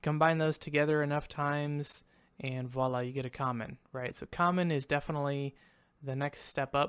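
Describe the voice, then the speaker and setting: Recorded very cleanly against a silent background, a man with a Southern US accent speaks in an animated tone at a moderate pace, his fairly high pitch showing ordinary variation. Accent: sounds southern by own remark. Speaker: gaming YouTuber. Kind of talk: gameplay commentary. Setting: at home recording. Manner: casual, animated.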